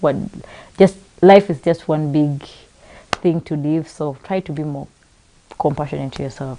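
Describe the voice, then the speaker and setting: Over noticeable background noise, a woman speaks in a very deep, low pitch with ordinary pitch variation. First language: not English. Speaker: talk show host. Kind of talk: panel discussion. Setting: live broadcast.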